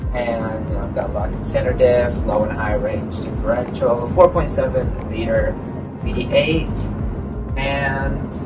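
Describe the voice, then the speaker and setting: A man speaks with clear music playing in the background. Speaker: travel vlogger. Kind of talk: casual vlog chat. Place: car. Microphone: camera far.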